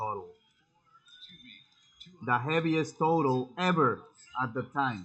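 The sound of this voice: With a fairly bright tone, a man talks at a fairly slow pace and ordinary pitch variation.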